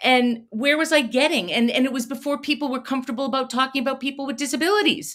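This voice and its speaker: With an American accent, a woman talks at a very fast pace with hardly any pauses, her pitch high and her pitch variation ordinary. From Connecticut, Fairfield County. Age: 60s. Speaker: special education advocate. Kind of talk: podcast interview.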